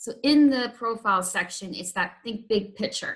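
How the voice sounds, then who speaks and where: Her bright, sharp tone carries a slight Canadian accent as the woman speaks at a fairly slow pace with ordinary pitch variation. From Canada. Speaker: intervention specialist teacher. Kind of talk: training presentation. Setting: evening meeting with parents. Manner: hesitant, many ums.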